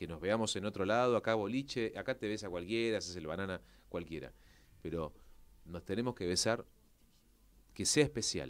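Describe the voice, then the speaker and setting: This man talks at a moderate pace with ordinary pitch variation and a fairly low voice. He leaves long pauses, and often. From Argentina. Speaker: actor and presenter; interview guest. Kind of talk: interview. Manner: halting. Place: studio. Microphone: studio mic.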